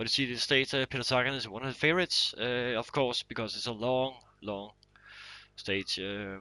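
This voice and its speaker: A man's bright, sharp voice with a non-native accent at a moderate pace. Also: medium pitch for a man, ordinary pitch variation. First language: not English. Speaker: gaming streamer. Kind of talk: live gameplay commentary. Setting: live stream from console. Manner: halting, many fillers.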